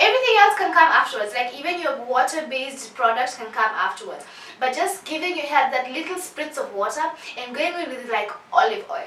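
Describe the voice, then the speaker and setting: A woman uses a raised, projected voice at a high pitch, with an animated tone, very wide pitch swings and big swings in loudness. Noticeable background noise and audible room echo are present. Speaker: beauty vlogger. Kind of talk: tutorial. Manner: fast.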